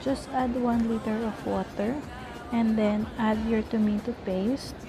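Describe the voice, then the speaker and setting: Speech at a very slow pace plays with music in the background. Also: woman. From Philippines. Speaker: cooking vlogger. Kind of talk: cooking tutorial.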